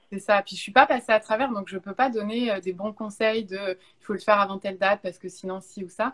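A plain, everyday voice at a fairly quick pace, with fairly even intonation, in a dry, close sound with no echo. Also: woman. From France, Bordeaux. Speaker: YouTuber and content creator. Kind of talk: casual interview. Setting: remote Instagram live.

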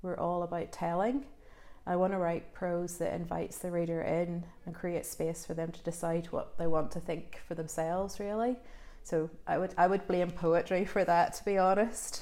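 With a Northern Irish accent, a woman speaks in a dark, mellow tone with fairly even intonation. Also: fairly low pitch for a woman, moderate pace. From Northern Ireland, rural village. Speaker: novelist. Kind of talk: interview. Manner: hesitant, many fillers.

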